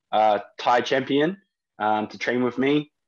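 A man with a New Zealand accent at medium pitch, fairly slow pace and ordinary pitch variation, over a quiet background. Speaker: strength and conditioning coach. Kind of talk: interview. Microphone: internet connection dropped out.

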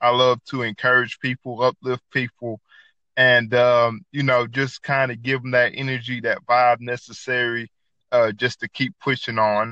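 A man with a Southern US accent has a bright, sharp tone and flat, monotone delivery, recorded dry and close with no echo against a quiet background. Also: medium pitch for a man, moderate pace. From US South, north Georgia. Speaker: podcaster and cook. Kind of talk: casual chat. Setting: app call with random co-host. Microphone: poor internet connection.

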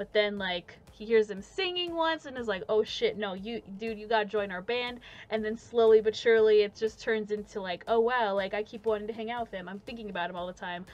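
This is a normal speaking voice with ordinary pitch variation. It goes at a fairly quick pace with hardly any pauses. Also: woman, fairly high pitch for a woman, big swings in loudness. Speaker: podcast host. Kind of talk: casual chat. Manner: casual, filler-heavy.

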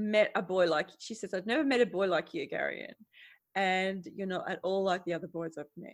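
An unforced reading voice over a quiet background

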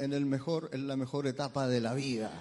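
A man's fairly high voice at a moderate pace, over noticeable background noise. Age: 50s. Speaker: preacher. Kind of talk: sermon.

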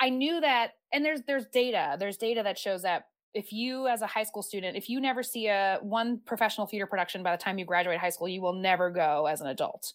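With an American accent, a woman uses a plain, everyday voice at a medium pitch, talking at a fairly quick pace with lively intonation in a very clean recording with a silent background. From US, military family (California, Virginia). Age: 30s. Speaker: former arts educator. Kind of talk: interview.

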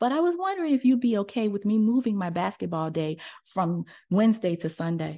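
A woman with an American accent, medium pitch, a dark, mellow tone and lively intonation, at a fairly quick pace over a quiet background. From United States. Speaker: journalist and author. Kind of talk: casual chat.

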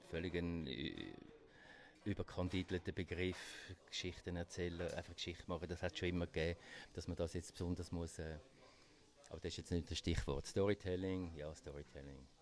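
In a Swiss accent, a man talks at a moderate pace with a very deep, low pitch and fairly even intonation. The recording is very clean, with a silent background. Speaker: magazine publisher. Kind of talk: interview conversation.

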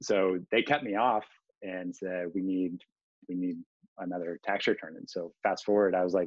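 A man with an American accent speaks with a very deep, low pitch. His pace is fairly slow. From Kansas. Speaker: entrepreneur. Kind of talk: interview.

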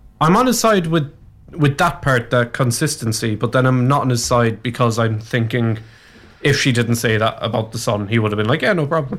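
In a Cork accent, a man speaks at a fairly quick pace with medium pitch. His loudness is very even and his pitch variation ordinary. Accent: Cork Irish. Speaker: radio co-host. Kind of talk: casual radio banter. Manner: joking, playful, teasing.

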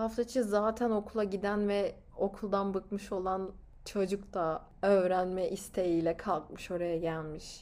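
A woman at a medium pitch, with fairly even intonation and a very slow pace. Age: 20s. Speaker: podcast host. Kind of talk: motivational monologue.

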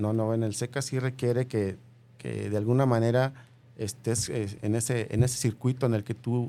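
A man's medium-pitched voice, dark and mellow in tone, flat and monotone at a moderate pace. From Mexico, Michoacán. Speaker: author. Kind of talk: interview.

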